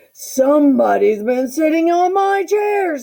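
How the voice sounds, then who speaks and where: The speaker uses a put-on character voice at a high pitch. The delivery comes at a fairly slow pace. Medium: read story.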